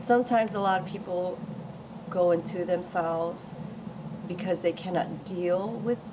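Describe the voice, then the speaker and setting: At a moderate pace and medium pitch, a woman speaks with long, frequent pauses over noticeable background noise. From Hawaii. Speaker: Buddhist practitioner and chapter leader. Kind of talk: informal teaching talk.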